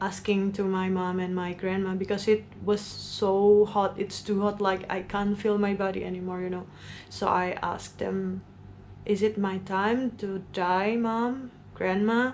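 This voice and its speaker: Her intonation monotone and flat, a woman speaks at a fairly slow pace with a medium pitch. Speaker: vlogger. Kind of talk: storytime monologue.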